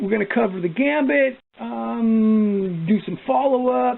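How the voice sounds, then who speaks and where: Noticeable background noise fills the clip. A man speaks in a high voice. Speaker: chainsaw mechanic and timber faller. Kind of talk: workshop tutorial. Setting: workshop bench. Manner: occasionally slurring and stammering.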